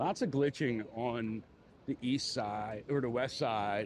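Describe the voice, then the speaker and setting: In a Philadelphia accent, a man talks at a medium pitch with fairly even intonation. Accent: Philly. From Philadelphia, US. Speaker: live streamer, city walk vlogger. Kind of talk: casual live stream chat while walking. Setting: outdoors on the Las Vegas Strip. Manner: casual, hesitant with fillers and repetitions.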